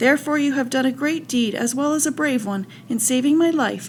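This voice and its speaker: Putting on a squeaky character voice, a woman talks fairly quickly in a high pitch over clear background noise. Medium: read story.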